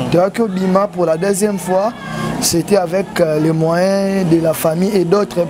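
Over noticeable background noise, a man speaks at a high pitch. His intonation is monotone and flat, and his pace is very slow. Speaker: bereaved son of a deceased comedian. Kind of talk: interview. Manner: halting.

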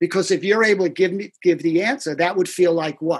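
Over a quiet background, a man with a high pitch talks at a fairly quick pace. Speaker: therapist trainer. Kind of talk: interview answer. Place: home room. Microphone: video call.

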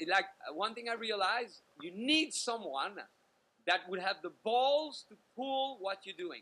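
A man talks with lively intonation in a high voice. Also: fairly slow pace. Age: 40s. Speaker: dating coach. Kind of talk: interview. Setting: video call. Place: home room. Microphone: video call.

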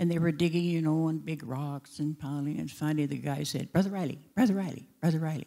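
A dark, mellow tone comes through at a moderate pace against a quiet background. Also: woman. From Alaska, Matanuska valley; Alaska. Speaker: founding pastor's widow. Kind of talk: testimony. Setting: church. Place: church. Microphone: handheld.

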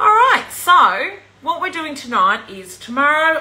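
A woman's lively intonation at a fairly slow pace, with light background noise. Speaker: presenter. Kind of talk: casual livestream chat. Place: kitchen. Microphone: phone near.

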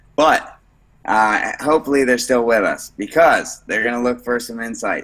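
Bright and sharp in tone, a man speaks at a moderate pace. The background is quiet. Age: 30s. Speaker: jiu-jitsu gym owner and instructor; instructor. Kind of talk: casual interview. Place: gym.

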